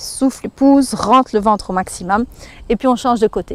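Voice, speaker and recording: Over noticeable background noise, a woman talks at a fairly quick pace in a fairly high pitch with ordinary pitch variation. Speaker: fitness instructor. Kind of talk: exercise tutorial. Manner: instructive, guiding breathing.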